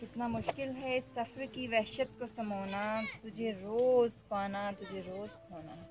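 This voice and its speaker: Loudness swings a lot while pitch varies in an ordinary way. Background noise is noticeable. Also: woman, fairly high pitch for a woman. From Pakistan. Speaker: poet. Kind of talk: poetry reading.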